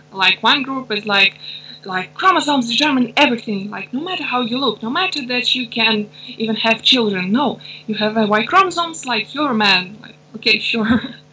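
Amid noticeable background noise, a woman with a Russian accent talks at a fairly quick pace and a fairly high pitch, with lively intonation and big swings in loudness. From Russia and Ukraine. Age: 20s. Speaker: intersex activist. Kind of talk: interview. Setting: remote call.

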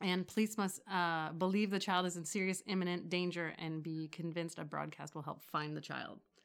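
A woman with a normal speaking voice talks at a fairly quick pace with hardly any pauses. Her pitch is fairly low and her intonation fairly even, on a very clean recording with a silent background. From Toronto, Canada. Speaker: podcast co-host. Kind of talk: casual chat.

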